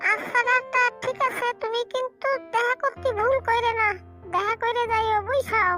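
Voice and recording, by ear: Over clear music in the background, a female-sounding cartoonish character voice with an extremely high pitch speaks at a moderate pace.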